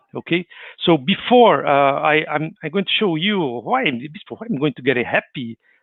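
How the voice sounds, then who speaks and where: A man with a Brazilian accent and a fairly high pitch talks at a moderate pace with very wide pitch swings. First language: Portuguese. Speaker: spiritist speaker. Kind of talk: livestreamed talk. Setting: online livestream. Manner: halting, with many repetitions and fillers.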